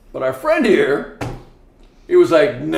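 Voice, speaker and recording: Amid noticeable background noise and audible room echo, a man speaks at a moderate pace in an animated tone. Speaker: former prison inmate. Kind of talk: casual chat. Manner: loud and boisterous.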